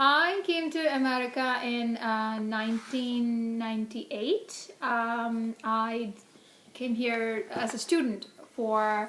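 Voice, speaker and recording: Woman's fairly high voice at a very slow pace, with ordinary pitch variation. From India. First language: Hindi. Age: 40s. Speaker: interviewee, immigrant parent. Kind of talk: casual interview. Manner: many fillers (um, uh).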